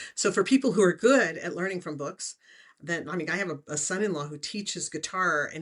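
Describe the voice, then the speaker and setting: At a very fast pace, a woman talks in a fairly low pitch. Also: quiet background. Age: 60s. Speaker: remote viewing teacher and author. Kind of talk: interview.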